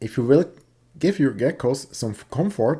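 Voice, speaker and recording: A man with a Swiss accent speaks at a moderate pace in a dark, mellow, somewhat breathy voice on a very clean recording with a silent background. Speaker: reptile hobbyist youtuber. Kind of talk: video tutorial. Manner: halting.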